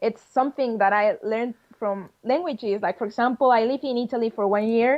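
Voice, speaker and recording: Speaking fairly fast, a woman talks in a Spanish accent. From Spain, Madrid. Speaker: game designer. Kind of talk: interview.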